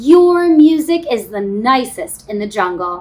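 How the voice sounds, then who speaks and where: A woman's put-on character voice, croaky and high-pitched, at a fairly slow pace. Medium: read story.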